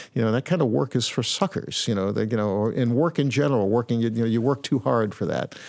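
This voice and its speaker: On a very clean recording with a silent background, a man talks at a very fast pace with lively intonation, hardly any pauses and very even loudness. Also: medium pitch for a man. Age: 60s. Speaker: arts organization director. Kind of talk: interview conversation. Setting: in person at his venue. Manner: halting.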